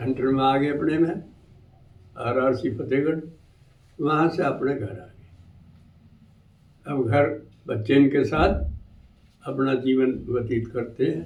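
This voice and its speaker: Pausing long and often, a man speaks at a medium pitch with ordinary pitch variation in a room with audible echo. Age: 80s+. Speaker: retired army havildar, war veteran. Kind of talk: testimony.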